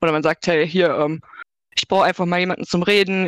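In an unremarkable speaking voice of medium pitch, a woman talks with fairly even intonation, the sound dry and close with no echo. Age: 20s. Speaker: digital streetworker, social worker. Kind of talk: casual interview.

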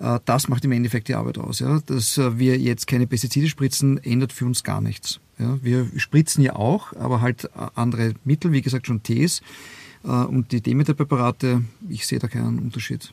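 A man's medium-pitched, somewhat breathy voice at a moderate pace, fairly even in intonation, with a dry, close sound and no echo. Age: 50s. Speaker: winemaker, former airline pilot. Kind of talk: interview. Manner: halting, many fillers.

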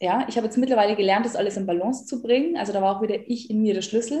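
A woman with a fairly high pitch talks in a dark, mellow, somewhat breathy tone. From rural German-speaking area, farming background. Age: 30s. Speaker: life and money coach. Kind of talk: interview. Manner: animated.

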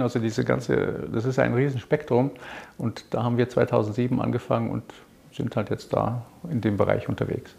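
A man's medium-pitched voice with vocal fry, at a moderate pace with fairly even intonation. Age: 60s. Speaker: business owner. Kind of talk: interview.

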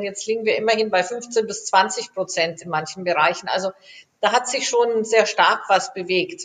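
Delivered at a moderate pace, the speech uses a normal speaking voice. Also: woman. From Germany. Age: 50s. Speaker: aerospace engineer. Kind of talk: interview.

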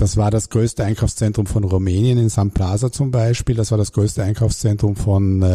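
This man's voice sits fairly low and has a dark, mellow tone. It is somewhat breathy, with ordinary pitch variation. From Germany, Hamburg. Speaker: real estate executive. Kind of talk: interview. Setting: studio.

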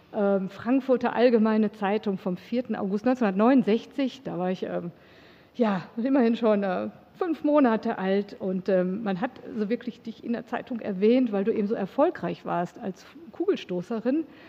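A woman with an unremarkable speaking voice talks at a fairly slow pace. Her pitch is fairly high, with ordinary pitch variation. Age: 50s. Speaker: podcast host. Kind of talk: interview. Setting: studio.

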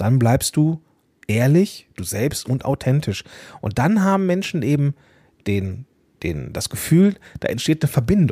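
A man with a somewhat breathy, dark and mellow voice speaks at a fairly high pitch and a fairly slow pace, his pitch swinging very widely, with long, frequent pauses in a dry, close recording that has no echo. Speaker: podcast coach and host. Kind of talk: solo podcast monologue.

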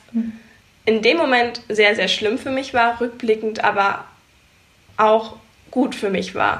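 A woman's fairly high voice at a very slow pace, with fairly even intonation and long, frequent pauses. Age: 20s. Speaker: photographer and business coach. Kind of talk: interview.

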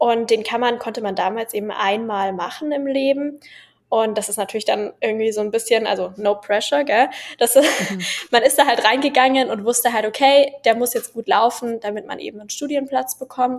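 A woman's unremarkable speaking voice, fairly high in pitch, at a moderate pace, with ordinary pitch variation and big swings in loudness. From Bavaria (Munich). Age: 20s. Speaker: medical student and social media creator. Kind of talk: casual interview.

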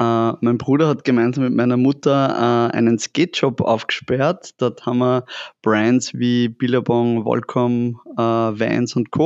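Using a normal speaking voice, a man speaks at a moderate pace and medium pitch with fairly even intonation. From Upper Austria, near Linz. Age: 30s. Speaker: fashion entrepreneur. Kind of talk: casual interview. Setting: in their shop.

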